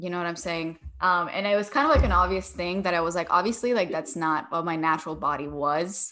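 Fairly low female voice with a bright, sharp tone, fairly quick pace, hardly any pauses and ordinary pitch variation, on a very clean recording with a silent background. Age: 20s. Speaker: YouTuber. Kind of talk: casual chat.

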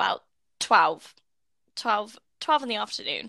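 Bright and sharp in tone, this voice carries a British accent at a fairly slow pace. The recording is very clean, with a silent background. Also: woman. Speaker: podcast host, student. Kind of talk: casual chat.

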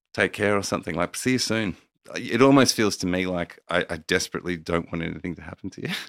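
This man has a very deep, low pitch and an Australian accent, talking at a very fast pace. The sound is dry and close with no echo, on a very clean recording with a silent background. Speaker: meditation teacher and mentor. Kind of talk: casual chat. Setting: video podcast.

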